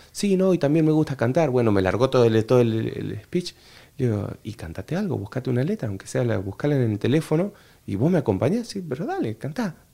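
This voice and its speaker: Speaking at a very fast pace, a man with a dark, mellow tone and medium pitch makes very wide pitch swings. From Argentina, Entre Ríos (litoral). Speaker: bandoneon player and orchestra director. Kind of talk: casual interview. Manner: halting with repetitions.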